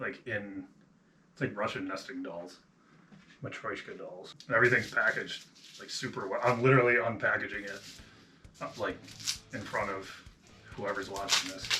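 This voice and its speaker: Delivered with a Buffalo accent, the speech has fairly even intonation, big swings in loudness and long, frequent pauses, with audible room echo and noticeable background noise. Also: man, medium pitch for a man, moderate pace. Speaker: hobby drummer, vlogger. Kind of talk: casual vlog narration. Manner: casual, rambling with fillers.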